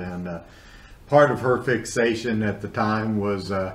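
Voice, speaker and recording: A man with a fairly low pitch, ordinary pitch variation and a moderate pace, plus audible room echo. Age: 60s. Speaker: guest co-host, horror movie fan and blogger. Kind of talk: casual chat. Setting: video call. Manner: halting, many fillers.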